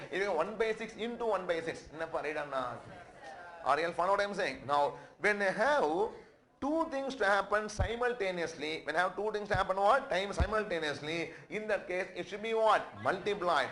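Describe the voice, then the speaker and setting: A man's high-pitched voice carries lively intonation through audible room echo. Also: moderate pace. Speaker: accountancy lecturer. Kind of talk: lecture. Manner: repetitive call-and-response questioning.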